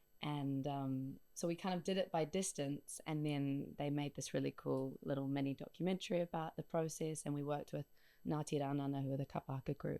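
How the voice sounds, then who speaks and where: Dark, mellow tone marks this voice. It moves along at a fairly quick pace. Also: woman. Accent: New Zealand. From New Zealand. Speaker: singer-songwriter. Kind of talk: radio interview. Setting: radio studio.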